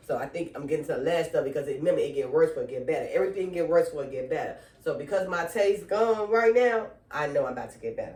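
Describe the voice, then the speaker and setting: A woman talks at a very fast pace in an animated tone. Audible room echo surrounds her voice. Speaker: online Bible teacher. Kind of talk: casual video devotional.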